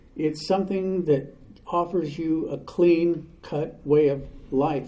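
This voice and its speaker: A man's voice, dark and mellow in tone, carries audible room echo. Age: 70s. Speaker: recovery speaker. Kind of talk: recovery testimony talk.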